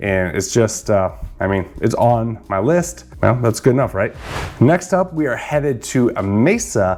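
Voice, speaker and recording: A man speaks at a fairly slow pace in a medium pitch, his voice swinging very widely up and down. Music plays in the background. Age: 40s. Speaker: real estate agent. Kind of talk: informational vlog. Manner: casual, conversational with fillers.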